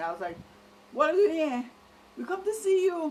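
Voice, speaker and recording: A woman talks with a Trinidadian accent. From Trinidad and Tobago, Port of Spain. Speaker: vlogger. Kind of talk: casual monologue.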